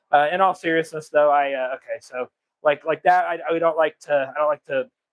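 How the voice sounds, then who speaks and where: A man with an American accent talks at a moderate pace in a fairly high pitch. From United States. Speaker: computer refurbisher and streamer; military veteran. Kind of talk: live stream tutorial chat. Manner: casual, halting with fillers.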